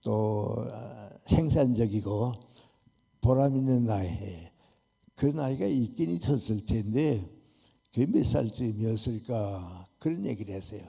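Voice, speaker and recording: The voice is somewhat breathy, with a dark, mellow tone and ordinary pitch variation. It moves at a very slow pace with long, frequent pauses. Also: man, fairly low pitch for a man. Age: 80s+. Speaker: philosopher, professor. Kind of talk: talk concert answer.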